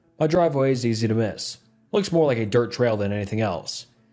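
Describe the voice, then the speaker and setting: A put-on, gruff character voice talks at a very fast pace with lively intonation. Faint music plays in the background. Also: man, medium pitch for a man. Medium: read story. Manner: warm, folksy.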